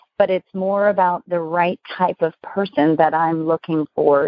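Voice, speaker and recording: A woman with an ordinary speaking voice talks at a fairly slow pace and fairly low pitch, keeping her intonation fairly even. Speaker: business consultant and speaker. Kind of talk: interview.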